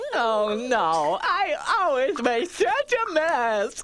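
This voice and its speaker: A female-sounding put-on character voice speaks very slowly, pitched high with very wide pitch swings. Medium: audio drama. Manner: sheepish.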